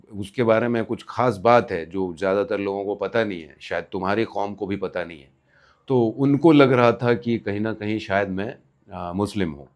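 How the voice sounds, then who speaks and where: Ordinary pitch variation from a man, set against a quiet background. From Bihar, India. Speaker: vlogger storyteller. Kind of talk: anecdotal storytelling. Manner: casual, with hesitations.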